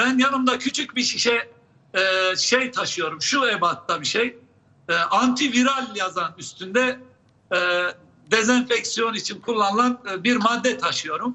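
At a very slow pace with long, frequent pauses, a man with an extremely high pitch speaks with ordinary pitch variation. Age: 70s. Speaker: public health professor. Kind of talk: live TV interview. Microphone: unstable connection, drops out.

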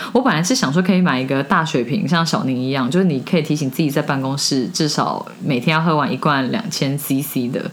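Talking at a fairly quick clip with lively intonation, a woman is heard amid audible room echo and noticeable background noise. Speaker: podcast co-host. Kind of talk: casual chat.

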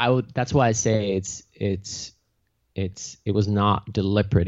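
A man with a Finnish accent talks at a moderate pace in a fairly low pitch. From Finland. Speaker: mushroom company founder. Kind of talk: interview.

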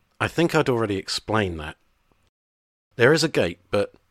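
On a very clean recording with a silent background and a dry, close sound with no echo, a man talks at a moderate pace with very wide pitch swings. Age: 50s. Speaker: podcast host. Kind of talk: scripted narration.

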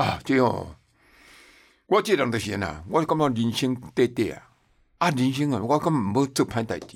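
A man with vocal fry and very wide pitch swings speaks at a moderate pace with long, frequent pauses, in a very clean recording with a silent background. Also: medium pitch for a man. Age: 70s. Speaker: TV producer and tour guide. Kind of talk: casual interview chat. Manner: animated.

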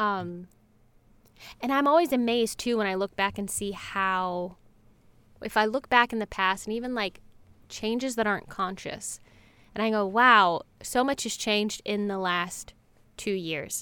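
On a very clean recording with a silent background, a woman with an American accent speaks at a medium pitch and a fairly slow pace in a bright, sharp tone, with ordinary pitch variation and long, frequent pauses. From US South, North Carolina. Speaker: board game personality. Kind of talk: casual chat.

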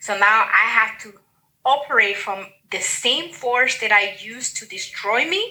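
A woman with a Spanish accent speaks fairly slowly at a fairly high pitch, with ordinary pitch variation and big swings in loudness. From Dominican Republic, Santiago. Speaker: guest, writer. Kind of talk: personal testimony. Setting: video call.

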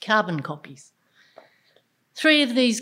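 In a very clean recording with a silent background, a woman with an Australian accent speaks at a moderate pace. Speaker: storyteller. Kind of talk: storytelling performance.

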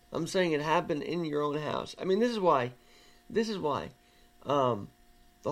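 With lively intonation and vocal fry, a man speaks in a fairly high pitch. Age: 20s. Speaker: podcast host. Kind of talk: casual chat. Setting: video call.

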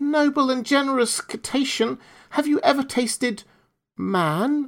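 A female-sounding voice uses a high-pitched, put-on character voice at a moderate pace. The recording is very clean, with a silent background. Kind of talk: flattering, ornate.

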